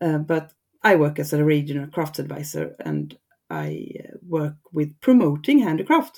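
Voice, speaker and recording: With a Swedish accent, a woman speaks at a fairly slow pace. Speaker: regional textile crafts advisor. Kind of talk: interview. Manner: halting.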